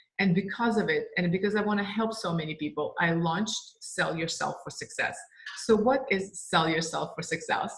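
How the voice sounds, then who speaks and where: A woman of medium pitch speaks at a moderate pace with ordinary pitch variation over noticeable background noise. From Russia. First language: Russian. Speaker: sales trainer and business owner. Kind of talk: course introduction.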